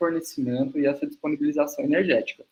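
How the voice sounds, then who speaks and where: Pitched fairly high, a man with a normal speaking voice talks with lively intonation. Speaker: nutritionist and university lecturer. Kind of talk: webinar lecture.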